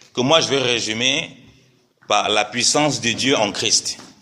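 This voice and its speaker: A man speaks at a fairly slow pace. His pitch shows ordinary variation. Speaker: preacher. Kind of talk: sermon.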